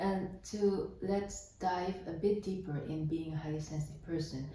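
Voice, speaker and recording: A woman's fairly low voice at a fairly slow pace with fairly even intonation, over noticeable background noise. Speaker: HSP coach and somatic therapist. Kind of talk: interviewer questions.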